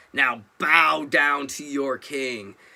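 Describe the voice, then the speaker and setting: Using a put-on character voice, a man talks at a fairly high pitch. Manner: commanding, imperious.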